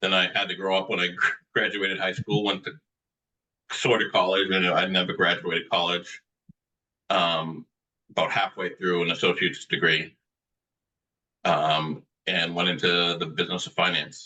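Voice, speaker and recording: With a Boston accent, a man speaks at a moderate pace in a very deep, low voice with a bright, sharp tone, fairly even intonation, and long, frequent pauses. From Medford, Massachusetts (Boston area). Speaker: author. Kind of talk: interview.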